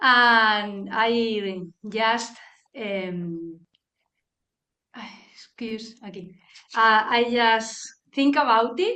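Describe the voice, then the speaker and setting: A woman talks very slowly in a bright, sharp tone with a Spanish accent. Her pitch varies in an ordinary way, and the room echo is audible. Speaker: guest practitioner. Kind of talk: casual chat. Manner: halting.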